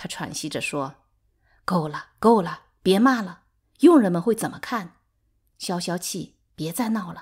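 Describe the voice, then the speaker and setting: On a very clean recording with a silent background, a woman at medium pitch speaks at a very slow pace, somewhat breathy, with lively intonation and big swings in loudness. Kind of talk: literary audiobook reading, dramatized narration. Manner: animated, shifting between narrator and quarreling characters.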